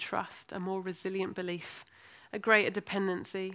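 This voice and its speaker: With an American accent, a woman speaks at a medium pitch in an animated tone. Her moderate pace comes through on a very clean recording with a silent background. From US, then Birmingham and London. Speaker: preacher. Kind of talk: sermon. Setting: church. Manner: animated, humorous.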